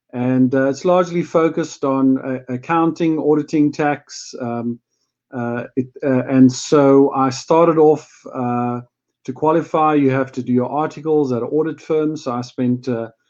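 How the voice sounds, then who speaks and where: This man speaks with a South African accent at a moderate pace. His pitch is fairly high and his intonation fairly even. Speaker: company CFO, chartered accountant. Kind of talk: casual business chat.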